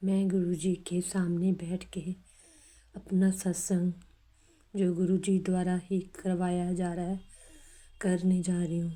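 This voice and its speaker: The woman's voice has a dark, mellow tone and medium pitch, with monotone, flat intonation. She pauses long and often. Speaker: devotee sharing testimony. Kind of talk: devotional testimony. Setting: recorded at home at evening.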